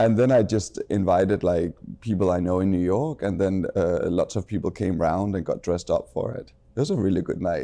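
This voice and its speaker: A man with a Danish accent speaks fairly quickly in a fairly low pitch, showing ordinary pitch variation and a dark, mellow tone. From Denmark. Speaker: fashion designer. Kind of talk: casual interview chat.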